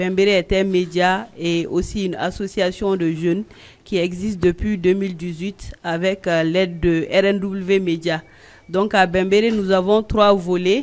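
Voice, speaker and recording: A woman speaks in a monotone, flat way. Her pace is fairly slow. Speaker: journalist and blogger. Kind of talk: panel discussion. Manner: loud, carrying voice.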